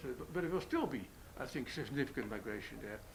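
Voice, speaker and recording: A man at a very fast pace, with audible room echo. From Netherlands. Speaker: economist. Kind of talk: panel discussion. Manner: halting.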